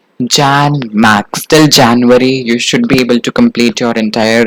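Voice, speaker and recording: At a fairly slow pace, a man speaks with an Indian accent. The sound is dry and close, with no echo. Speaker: exam prep teacher. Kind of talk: tutorial. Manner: animated.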